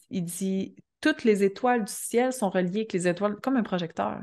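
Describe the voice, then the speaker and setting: A woman's medium-pitched voice in a Quebec accent, animated in tone and lively in intonation, over a quiet background. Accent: Québécois French. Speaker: astrologer and entrepreneur. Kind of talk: casual podcast interview.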